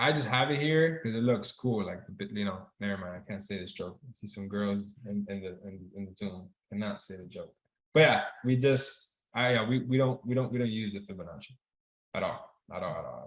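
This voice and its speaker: Speaking in a Spanish accent, a man sounds animated, with lively intonation and big swings in loudness. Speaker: trading instructor. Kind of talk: live online class. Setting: video call. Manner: casual, animated.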